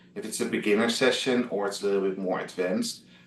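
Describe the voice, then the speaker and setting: This man speaks with a Dutch accent. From Netherlands, Amsterdam. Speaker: travel blogger. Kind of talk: interview. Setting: video call. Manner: halting, many fillers.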